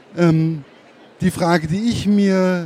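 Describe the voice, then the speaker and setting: A man's high pitch with ordinary pitch variation over noticeable background noise. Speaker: interviewer. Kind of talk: interview.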